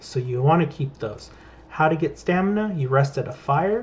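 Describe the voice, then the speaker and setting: The man's voice is somewhat breathy. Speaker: gaming youtuber. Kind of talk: gameplay tutorial. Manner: casual, profane.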